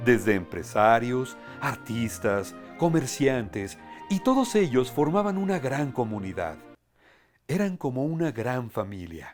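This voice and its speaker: A man with a central Mexican accent at medium pitch, fairly slow, with very wide pitch swings, music in the background. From Tlalnepantla, Mexico. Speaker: voice actor and commercial announcer. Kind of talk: storybook narration.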